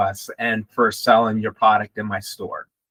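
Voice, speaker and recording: A man talks in an American accent, neither fast nor slow. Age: 60s. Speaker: pharmacy store manager. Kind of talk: interview. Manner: hesitant, many ums.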